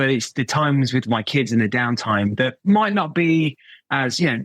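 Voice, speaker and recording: A man speaks with an English accent at medium pitch. The sound is dry and close, with no echo. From England. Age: 40s. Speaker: watch brand director. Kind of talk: podcast interview.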